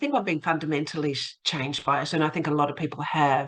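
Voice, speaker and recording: Talking at a fairly quick pace, a woman with an Australian accent has a very deep, low pitch. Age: 60s. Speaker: academic and local councillor. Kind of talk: podcast interview.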